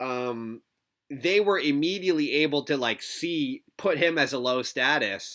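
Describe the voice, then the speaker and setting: Speaking in a Canadian accent, a man has a bright, sharp tone and ordinary pitch variation. His pace is fairly slow. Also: fairly high pitch for a man, very clean recording, silent background. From Canada. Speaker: guest. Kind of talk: casual chat.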